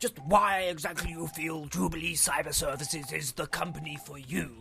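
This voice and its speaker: A man does a put-on character voice at a fairly high pitch and a moderate pace. Background noise is clearly heard. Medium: audio drama. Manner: formal, throat-clearing.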